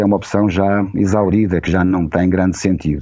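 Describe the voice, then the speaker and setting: Over a quiet background, a man speaks with a fairly low pitch, a dark, mellow tone, and monotone, flat intonation. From Portugal. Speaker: journalist and former radio director. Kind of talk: casual interview chat. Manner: slow, deliberate; hesitant, with fillers and repetitions.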